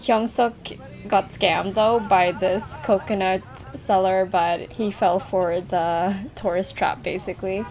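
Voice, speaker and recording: Amid noticeable background noise, a woman speaks at a fairly slow pace with a medium pitch and fairly even intonation. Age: 20s. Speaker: travel vlogger. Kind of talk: vlog voiceover narration.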